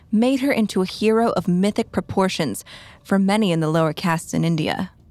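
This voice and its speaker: A woman speaks at a fairly quick pace in a serious, dramatic tone, her medium pitch showing ordinary variation. The sound is dry and close, with no echo. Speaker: true crime narrator. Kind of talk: scripted true-crime narration. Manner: serious, steady, dramatic storytelling pace.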